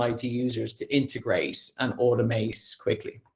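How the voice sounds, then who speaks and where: This man has an Irish accent. He talks at a moderate pace. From Ireland. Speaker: sales account executive. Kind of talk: online presentation.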